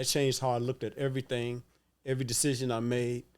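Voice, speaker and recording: A man at a very fast pace, medium in pitch, with monotone, flat intonation. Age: 60s. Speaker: navy veteran and minister. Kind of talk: casual chat.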